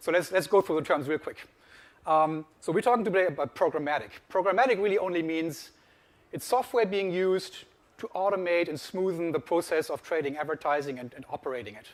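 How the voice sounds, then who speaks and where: A man's fairly high voice with a German accent and ordinary pitch variation. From Germany. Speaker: industry research analyst. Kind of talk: conference presentation.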